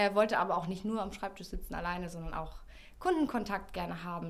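Here is a woman with an ordinary speaking voice and medium pitch. She talks at a fairly quick pace. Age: 30s. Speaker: public-sector recruitment and marketing officer. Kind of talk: interview. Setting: studio.

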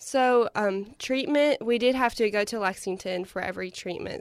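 With an Appalachian accent, a woman speaks with ordinary pitch variation. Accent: Appalachian American. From Eastern Kentucky. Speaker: university student. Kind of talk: interview.

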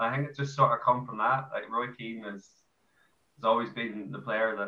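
A man with an Irish accent speaks at medium pitch and a fairly quick pace, his tone bright and sharp and his intonation fairly even. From Ireland. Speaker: amateur football player. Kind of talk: casual interview.

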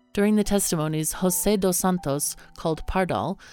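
A woman talks at a fairly quick pace. Her pitch varies in an ordinary way, with music in the background. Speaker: podcast narrator. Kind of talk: true-crime documentary narration. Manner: grave, measured storytelling with solemn, steady pacing.

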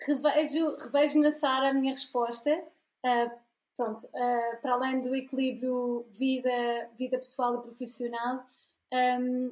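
Monotone, flat intonation at a very slow pace. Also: woman. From Portugal. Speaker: graphic designer and illustrator. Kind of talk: casual interview chat.

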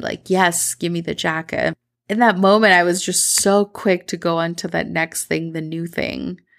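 In a very clean recording with a silent background, a woman with a Midwestern US accent speaks at a fairly low pitch in a warm, animated tone. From Medellin, Colombia, then Minnesota. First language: Spanish. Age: 30s. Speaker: podcast host, mentor. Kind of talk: solo podcast monologue, personal storytelling. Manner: warm, animated, conversational.

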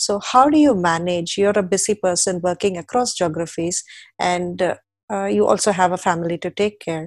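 Delivered in a plain, everyday voice at a moderate pace with ordinary pitch variation, the speech has a dry, close sound with no echo. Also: woman, medium pitch for a woman, very clean recording, silent background. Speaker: podcast host. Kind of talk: interview.

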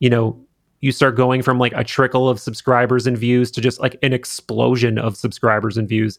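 A man's normal speaking voice at a medium pitch, with a fairly quick pace and fairly even intonation, on a very clean recording with a silent background. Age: 30s. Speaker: podcast host and video creator. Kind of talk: casual chat. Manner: casual, conversational.

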